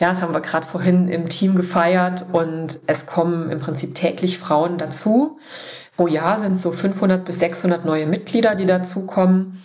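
Over noticeable background noise, a woman with a fairly low pitch speaks at a fairly slow pace. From eastern Germany, Dessau (Saxony-Anhalt). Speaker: founder of a women's leadership network. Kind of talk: interview.

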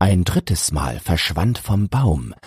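Dry and close with no echo, a man's somewhat breathy voice moves at a very slow pace with lively intonation. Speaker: audiobook narrator. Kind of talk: poetry reading, audiobook-style verse read aloud. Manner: measured, rhythmic, storytelling cadence.

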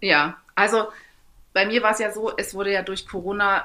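Noticeable background noise sits under this recording. A woman speaks at a medium pitch and a moderate pace. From Saxony, eastern Germany (Torgau). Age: 30s. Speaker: amateur triathlete. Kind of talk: interview.

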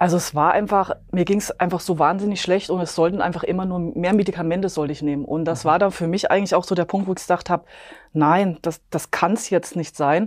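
A woman talks very fast at a fairly low pitch with fairly even intonation. The recording is very clean, with a silent background. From Bavaria, near Munich. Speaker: epigenetics coach and nutrition advisor. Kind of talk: interview, personal testimony.

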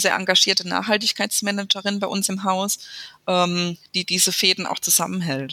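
Delivery comes at a moderate pace. Its tone sounds bright and sharp. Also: woman. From Speyer, Rhineland-Palatinate, Germany. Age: 30s. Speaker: mayor. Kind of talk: interview. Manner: hesitant with frequent fillers.

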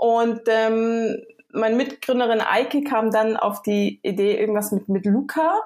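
Using a normal speaking voice, a woman talks fairly slowly at a fairly high pitch with very even loudness. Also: fairly even intonation. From Germany, near Frankfurt (Hesse). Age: 30s. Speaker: startup co-founder. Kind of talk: podcast interview.

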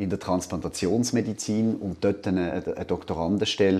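In a Basel accent, the speaker talks at a moderate pace with fairly even intonation and a dark, mellow tone. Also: man, quiet background. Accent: Basel Swiss German. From Switzerland, Basel. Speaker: law professor. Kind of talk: interview. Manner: halting, many fillers.

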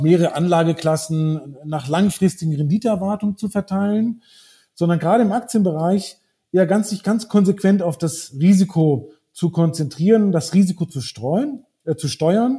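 With a dark, mellow tone and a high pitch, a man talks at a moderate pace with ordinary pitch variation. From Brazil. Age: 40s. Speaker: wealth manager. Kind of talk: corporate podcast interview.

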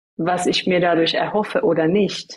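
The speaker has an Iranian accent and talks at a fairly slow pace. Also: woman. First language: Farsi (speaking German). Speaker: coach and trainer. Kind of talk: interview.

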